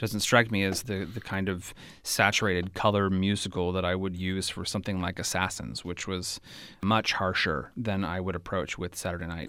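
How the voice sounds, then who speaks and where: Recorded very cleanly against a silent background, a speaker with a West Coast American accent uses a bright, sharp tone, fairly even intonation and a moderate pace. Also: man, very deep, low pitch for a man. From California, Bay Area. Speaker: theater director. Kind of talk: interview.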